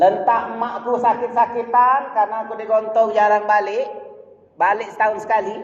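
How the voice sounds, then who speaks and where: With a Malay accent, a man speaks in an animated tone, and audible room echo surrounds him. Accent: Malay-tinged Indonesian. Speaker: preacher. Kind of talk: sermon.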